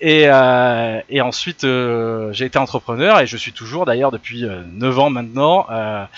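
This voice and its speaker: A man speaks at a fairly slow pace, his pitch at a medium level with ordinary variation. The sound is dry and close, with no echo. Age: 30s. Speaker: lecturer. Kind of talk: lecture. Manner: animated.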